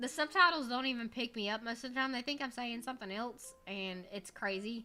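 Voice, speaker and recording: A woman with an American accent speaks at a fairly quick pace in a high-pitched voice. Her tone is bright and sharp, with ordinary pitch variation. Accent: slight Southern country-Cajun. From US Deep South, Gulf Coast. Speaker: streamer. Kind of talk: casual livestream chat. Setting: livestream.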